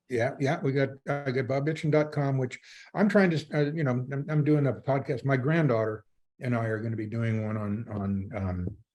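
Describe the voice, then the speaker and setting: With lively intonation, a man speaks at a medium pitch in a somewhat breathy voice against a quiet background. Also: moderate pace. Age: 80s+. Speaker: retired sailing magazine founder. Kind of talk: casual interview chat. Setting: podcast interview. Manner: halting, repeats words.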